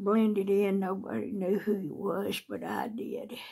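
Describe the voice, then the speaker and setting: A woman talks at a very slow pace in a Southern US accent. Her tone is dark and mellow, with vocal fry. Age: 60s. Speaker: video blogger. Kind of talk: casual chat.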